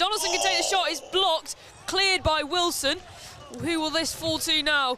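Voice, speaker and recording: The recording has a dry sound with no echo and light background noise. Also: moderate pace. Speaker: football match commentator. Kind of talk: live football commentary, highlights voiceover. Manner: breathless play-by-play delivery. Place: stadium.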